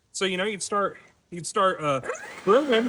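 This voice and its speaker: A man's high-pitched voice carries lively intonation. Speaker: turf industry business owner and product demonstrator. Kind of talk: casual product demonstration to camera. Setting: outdoors, in a yard.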